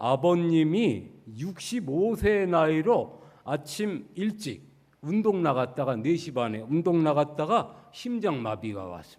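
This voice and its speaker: This man talks at a very slow pace, his fairly high pitch moving in very wide swings. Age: 60s. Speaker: church elder. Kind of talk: sermon.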